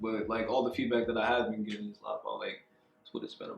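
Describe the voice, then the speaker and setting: A man is speaking. Music plays in the background. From Baltimore-born, raised in New Jersey. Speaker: rapper and music producer. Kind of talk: casual interview answer.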